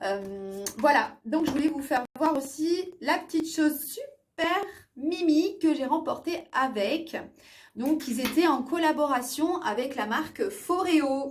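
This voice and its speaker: A woman's high voice carries lively intonation while she talks at a very slow pace. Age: 40s. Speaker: beauty vlogger. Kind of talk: product review vlog. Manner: hesitant, many fillers.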